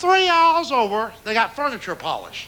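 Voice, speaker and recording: With a Southern US accent, a man speaks in a raised, projected voice at a fairly quick pace, his pitch swinging very widely. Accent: Southern US (Georgia). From rural Georgia, east of Atlanta. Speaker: stand-up comedian. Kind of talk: stand-up comedy routine.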